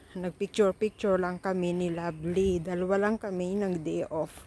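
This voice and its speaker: Her pitch sits in the medium range for a woman. Her intonation stays fairly even. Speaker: vlogger. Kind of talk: voice-over narration. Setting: outdoors, walking.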